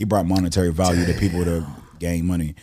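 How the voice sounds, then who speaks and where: A dark, mellow tone at a very fast pace, with an American accent. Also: man. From Pittsburgh, Pennsylvania. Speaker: rapper. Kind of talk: casual chat.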